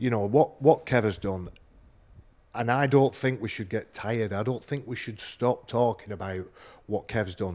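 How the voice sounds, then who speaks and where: With ordinary pitch variation, a man talks at a moderate pace. The background is silent and the recording very clean. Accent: Lancashire. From northern England, Oldham. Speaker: former rugby league player and TV pundit. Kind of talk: casual interview chat.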